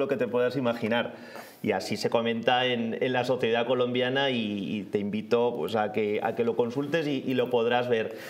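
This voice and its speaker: With an Aragonese accent, a man speaks at a moderate pace and medium pitch with fairly even intonation. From Zaragoza, Spain; Spain. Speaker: guest commentator. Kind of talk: casual news discussion. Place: studio. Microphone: lapel.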